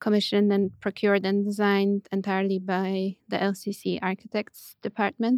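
A woman with a Polish accent speaks slowly-ish at a medium pitch, her intonation flat and monotone. The sound is dry and close with no echo, on a very clean recording against a silent background. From Poland, near Poznań. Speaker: architect and writer. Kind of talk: interview. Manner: hesitant, many fillers.

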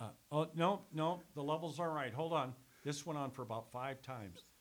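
A man's fairly high-pitched voice with vocal fry. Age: 60s. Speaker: former radio sales executive and sports announcer. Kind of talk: casual chat. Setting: studio. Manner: animated, joking.

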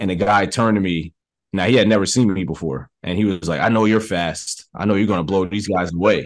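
A man with an unremarkable speaking voice talks at a fairly quick pace, his fairly low pitch moving with ordinary variation. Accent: American. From New York, the Bronx. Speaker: film director. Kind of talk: interview.

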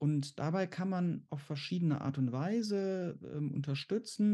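A man talks in a dark, mellow tone. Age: 40s. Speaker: exam anxiety coach and therapist. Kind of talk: interview. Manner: halting.

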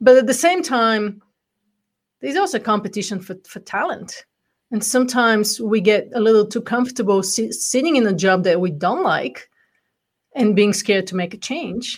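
A woman with a Bulgarian accent talks at a moderate pace and a fairly high pitch, her voice somewhat breathy and her intonation lively. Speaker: entrepreneur and coach. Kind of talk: interview. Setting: live stream video call.

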